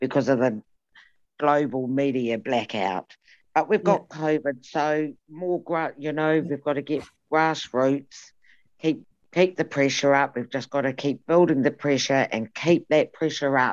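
Very deep and low for a woman, her voice has ordinary pitch variation and a fairly slow pace over a quiet background. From New Zealand, Maori. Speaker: Maori women's activist. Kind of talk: panel discussion. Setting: video call.

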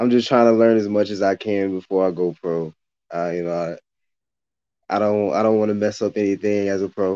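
A man's fairly low voice with a dark, mellow tone, fairly quick delivery and fairly even intonation, over a quiet background. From Louisiana, then northern Kentucky from high school. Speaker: amateur MMA fighter. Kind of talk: casual interview chat. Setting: remote call. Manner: halting, many fillers.

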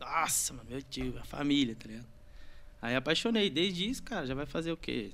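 A bright, sharp tone with vocal fry and lively intonation moves at a moderate pace. Loudness swings widely. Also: man, fairly high pitch for a man. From Brazil, São Paulo state (Santa Isabel). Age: 20s. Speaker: graffiti artist. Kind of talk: casual chat.

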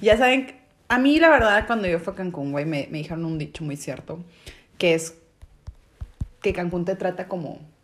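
With a Mexican accent, a woman speaks at a medium pitch, using lively intonation and long, frequent pauses. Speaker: podcast co-host. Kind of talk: casual chat.

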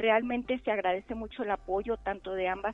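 A woman talks in a plain, everyday voice at a medium pitch, with ordinary pitch variation and a moderate pace. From Mexico, Chihuahua. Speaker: researcher and nursing lecturer. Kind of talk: interview. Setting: phone call. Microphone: telephone line.

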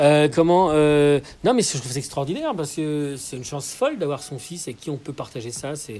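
This man has a fairly high pitch and a dark, mellow tone. He moves at a moderate pace with ordinary pitch variation. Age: 40s. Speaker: podcast host interviewing an artist. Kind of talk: casual interview. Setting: at the guest's home, with birds.

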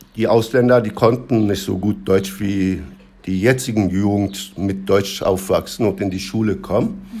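A man speaks in a Turkish accent at a fairly slow pace, his tone dark and mellow and his intonation fairly even. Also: fairly low pitch for a man. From Turkey. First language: Turkish (speaking German). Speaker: interviewee. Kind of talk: casual interview.

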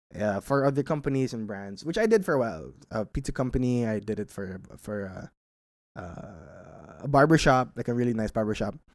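A man with a normal speaking voice talks at a moderate pace and medium pitch, with lively intonation. The recording is very clean, with a silent background. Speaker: podcast host answering listener questions. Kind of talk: casual solo Q&A monologue.

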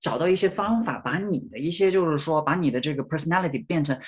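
Very fast speech from a man, fairly high in pitch, its pitch variation ordinary. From rural Hunan, China. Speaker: PhD student and Chinese language instructor. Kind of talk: interview. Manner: halting, many fillers.

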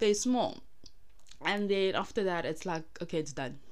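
With audible room echo, a woman speaks at a moderate pace in an animated tone with lively intonation. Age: 20s. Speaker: podcast host. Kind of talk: solo personal monologue.

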